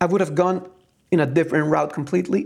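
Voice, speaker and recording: A man speaks with a Spanish accent. His pace is fairly quick. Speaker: film reviewer. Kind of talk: casual review monologue. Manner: halting, with fillers and false starts.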